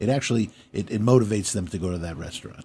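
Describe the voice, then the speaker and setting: A man's fairly low, somewhat breathy voice, dark and mellow in tone, with ordinary pitch variation. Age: 60s. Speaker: restaurateur. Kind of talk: interview. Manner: halting.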